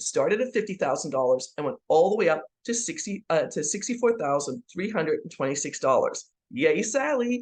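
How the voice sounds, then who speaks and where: A woman's fairly high, fairly quick voice with vocal fry and very wide pitch swings. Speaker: tax trust consultant and real estate investor. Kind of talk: sales presentation. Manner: halting with frequent fillers.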